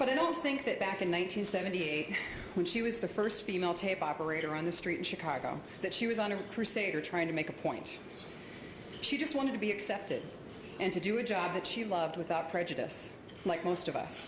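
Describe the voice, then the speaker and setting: Speaking at a very fast pace with an American accent, a woman keeps a very even loudness and a medium pitch with lively intonation, amid audible room echo and noticeable background noise. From Ohio. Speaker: television news colleague. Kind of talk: award ceremony speech.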